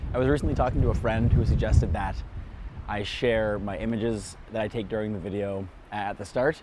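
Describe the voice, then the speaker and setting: A man speaks at a fairly quick pace in a fairly low voice with ordinary pitch variation. Room echo can be heard. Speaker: nature photographer and video creator. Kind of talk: casual vlog narration. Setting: outdoors.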